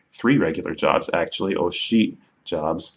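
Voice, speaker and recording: A man with an American accent speaks at a moderate pace with a fairly low pitch. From United States. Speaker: language learner teaching a Mayan language. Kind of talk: tutorial. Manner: halting, self-correcting.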